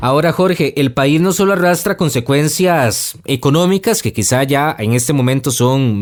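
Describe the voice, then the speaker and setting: A man talks at a moderate pace and a fairly high pitch, with lively intonation, in an unremarkable speaking voice. The recording is very clean, with a silent background. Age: young. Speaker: podcast host. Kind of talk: news podcast narration.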